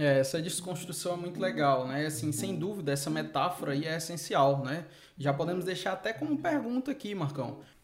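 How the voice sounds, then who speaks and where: Over noticeable background noise and audible room echo, a man talks at a moderate pace and a fairly high pitch with ordinary pitch variation. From Brazil, Fortaleza, Ceará. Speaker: podcast host, school management consultant. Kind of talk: casual chat. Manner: frequent fillers (né, é).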